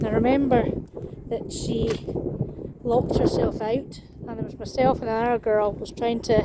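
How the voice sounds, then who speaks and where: A woman with a Scottish accent speaks at a fairly high pitch and moderate pace, her intonation monotone and flat. Long, frequent pauses break her speech, and noticeable background noise runs underneath. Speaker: vlogger. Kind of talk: walking vlog.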